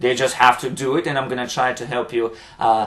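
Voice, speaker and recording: Here a man speaks with a Ukrainian accent. His pace is moderate and his pitch is medium. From Ukraine. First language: Ukrainian or Russian. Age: 30s. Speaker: dance instructor and motivational vlogger. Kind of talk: motivational vlog monologue. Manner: halting, many fillers.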